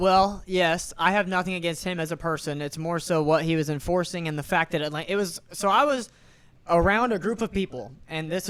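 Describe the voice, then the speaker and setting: A man talks loudly at a fairly quick pace. His pitch is high. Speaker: podcast co-host and restaurant server. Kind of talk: casual chat.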